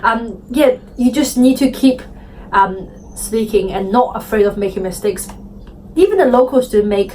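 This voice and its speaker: A woman with a non-native accent speaks at a moderate pace with ordinary pitch variation and long, frequent pauses, over noticeable background noise. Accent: foreign. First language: Chinese. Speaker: interviewee. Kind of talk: interview. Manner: hesitant, many fillers.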